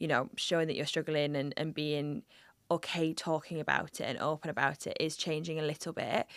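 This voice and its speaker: The recording is very clean, with a silent background and a dry, close sound free of echo. Speech moves at a moderate pace. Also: woman. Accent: northeast English. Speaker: podcast host. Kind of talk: casual interview conversation.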